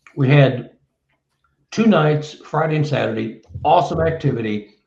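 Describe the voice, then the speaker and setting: Audible room echo surrounds a man with a fairly high pitch, who speaks at a moderate pace with ordinary pitch variation. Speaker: Bigfoot researcher and author. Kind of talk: casual interview chat.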